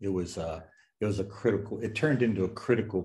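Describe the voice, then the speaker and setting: A man with an American accent speaks very fast in a fairly low pitch. His voice is somewhat breathy, with ordinary pitch variation. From Western Pennsylvania, US. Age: 70s. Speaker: novelist. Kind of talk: Q&A at book launch. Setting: bookstore event with audience.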